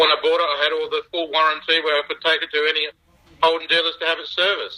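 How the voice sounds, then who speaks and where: Speaking very fast with an Australian accent, a man keeps a monotone, flat intonation. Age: 50s. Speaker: original car owner. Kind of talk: interview. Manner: halting.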